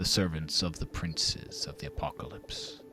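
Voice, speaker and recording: Clear music plays behind a man's booming, put-on character voice, very deep and low in pitch, moving at a moderate pace. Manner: commanding.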